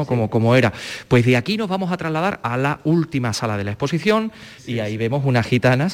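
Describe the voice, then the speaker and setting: Lively intonation runs through this man's plain, everyday voice as he talks at a fairly quick pace. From Andalusia (La Carolina, Jaén). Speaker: radio host. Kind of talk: on-location radio interview. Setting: exhibition hall.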